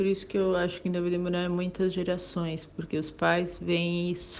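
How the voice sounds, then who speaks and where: The speaker is a woman with a fairly low pitch. She talks at a fairly slow pace. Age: 40s. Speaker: sales manager. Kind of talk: recorded testimony.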